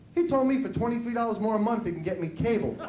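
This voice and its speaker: In an American accent, a man talks at a very fast pace with an extremely high pitch and ordinary pitch variation. Audible room echo and noticeable background noise surround him. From New York City. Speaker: stand-up comedian. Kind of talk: stand-up. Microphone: poor VHS recording quality.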